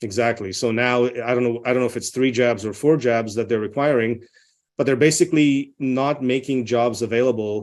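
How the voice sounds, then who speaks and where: A man with a non-native accent talks at a fairly quick pace in a medium pitch, his intonation fairly even. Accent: foreign. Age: 40s. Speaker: nuclear medicine physician. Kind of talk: interview. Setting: video call.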